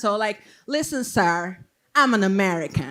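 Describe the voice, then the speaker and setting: The speaker has a Salvadoran accent. The pace is fairly slow. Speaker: stand-up comedian. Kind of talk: stand-up. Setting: stage with audience.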